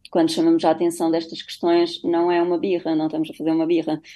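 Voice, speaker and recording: In a dark, mellow tone, a woman talks at a fairly low pitch. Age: 30s. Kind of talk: radio interview. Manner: halting.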